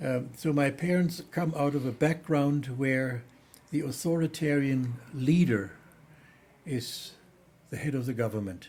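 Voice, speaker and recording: A man with a German accent talks at a fairly slow pace with long, frequent pauses, over noticeable background noise. His pitch is fairly high, with ordinary variation. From Germany. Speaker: theologian. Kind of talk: interview. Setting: studio. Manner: halting.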